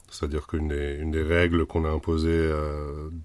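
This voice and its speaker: The man's very deep, low voice stays monotone and flat at a moderate pace. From Germany. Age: 30s. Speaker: founder of a community space association. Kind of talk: casual interview. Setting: old caravan on location. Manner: halting, frequent repetitions.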